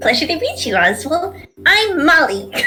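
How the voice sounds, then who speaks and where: A squeaky, female-sounding put-on character voice, extremely high in pitch for a woman, at a moderate pace. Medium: actual play. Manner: bubbly, eager.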